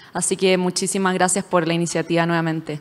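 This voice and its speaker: Over a silent background on a very clean recording, a woman's voice sits at a medium pitch. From Chile. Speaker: venture capital investor. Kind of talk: panel discussion.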